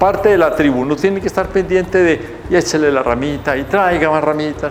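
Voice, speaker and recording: A man at a moderate pace amid noticeable background noise and audible room echo. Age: 70s. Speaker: TV presenter and math educator. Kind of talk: educational TV talk. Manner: playful, joking.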